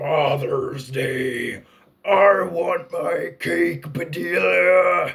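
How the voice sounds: Using a put-on character voice, a man speaks in a raspy tone at a very slow pace.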